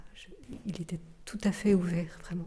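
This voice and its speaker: A woman speaks at a fairly slow pace with a medium pitch. Her tone is dark and mellow, and somewhat breathy. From Switzerland, Geneva. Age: 50s. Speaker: contemplative nun. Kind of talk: testimony interview. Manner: halting, many hesitations.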